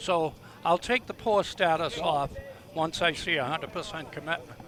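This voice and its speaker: Noticeable background noise sits behind a man whose voice is high in pitch with ordinary pitch variation. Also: moderate pace. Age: 70s. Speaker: baseball league president and color commentator. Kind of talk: live commentary.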